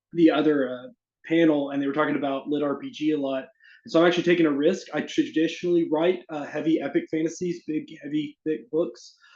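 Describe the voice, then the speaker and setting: A man with a slight Southern US accent, fairly high pitch, fairly even intonation and a fairly quick pace. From US South, Arkansas. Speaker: fantasy author. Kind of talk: casual chat; reading aloud.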